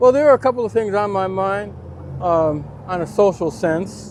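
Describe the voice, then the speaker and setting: Lively intonation runs through this man's speech, with noticeable background noise behind him. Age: 60s. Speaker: Navy veteran, stranger at a bus stop. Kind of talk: casual street interview. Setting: outdoors at a bus stop.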